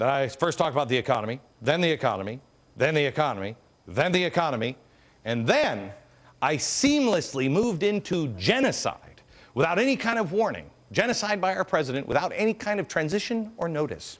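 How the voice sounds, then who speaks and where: Against a quiet background, a man with a fairly high pitch and vocal fry speaks at a fairly quick pace, his pitch swinging very widely. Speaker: TV host. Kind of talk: TV talk show monologue. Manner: sarcastic.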